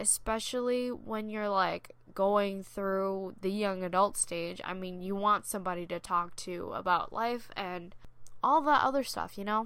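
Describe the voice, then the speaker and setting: On a very clean recording with a silent background, a woman speaks at a fairly slow pace, her medium pitch showing ordinary pitch variation. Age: 20s. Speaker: podcast host, nursing student and healthcare worker. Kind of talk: casual solo monologue. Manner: casual with filler words.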